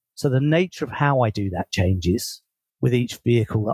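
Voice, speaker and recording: A man with a dark, mellow tone and a somewhat breathy voice speaks at a fairly quick pace with lively intonation, in a dry, close sound with no echo. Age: 60s. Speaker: leadership coach and author. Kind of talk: interview.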